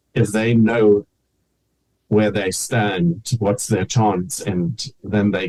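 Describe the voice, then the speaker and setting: A man speaks very slowly with a fairly low pitch and ordinary pitch variation. His somewhat breathy voice has a dark, mellow tone and a dry, close sound with no echo. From Namibia, German-descended family. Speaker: cancer survivor and teacher. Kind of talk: interview testimony.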